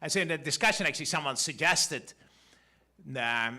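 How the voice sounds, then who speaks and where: A man with a Dutch accent speaks in a bright, sharp tone. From Netherlands. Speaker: economics professor. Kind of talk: conference talk. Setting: stage with audience. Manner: halting, many fillers and restarts.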